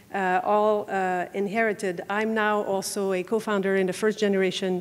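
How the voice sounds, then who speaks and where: A woman with a Quebec accent speaks at a moderate pace and medium pitch. Her intonation is monotone and flat, her loudness very even, on a very clean recording with a silent background. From Quebec City. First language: French. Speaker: family law lawyer. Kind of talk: conference talk. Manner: halting, many filler words.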